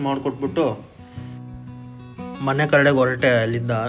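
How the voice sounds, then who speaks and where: Music plays in the background behind a voice with monotone, flat intonation. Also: man. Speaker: CCTV camera installation technician and vlogger. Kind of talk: casual talk to camera, daily vlog.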